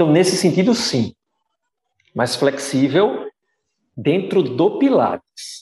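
A man's voice, high in pitch. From Brazil, Pernambuco interior (Caruaru). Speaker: physiotherapist and Pilates teacher. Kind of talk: casual interview chat.

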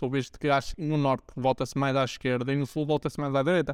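In a very clean recording with a silent background, a man talks at a very fast pace, fairly high in pitch, with fairly even intonation. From Portugal, Braga. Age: 20s. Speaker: podcast host. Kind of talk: casual interview.

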